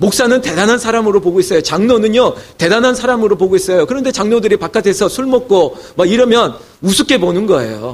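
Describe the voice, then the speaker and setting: This man talks at a very fast pace in a high pitch. His tone is animated, with ordinary pitch variation. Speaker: pastor. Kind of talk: sermon. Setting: church.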